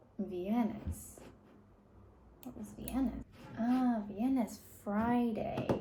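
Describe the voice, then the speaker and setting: Monotone, flat speech at a very slow pace, broken by long, frequent pauses, over noticeable background noise. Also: woman. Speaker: language learner vlogger. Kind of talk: reading aloud and translating; casual vlog talk. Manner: halting.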